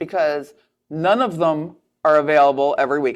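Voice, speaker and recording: On a very clean recording with a silent background, a woman speaks with a very deep, low pitch. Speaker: restaurant owner and podcast host. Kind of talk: casual chat. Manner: loud.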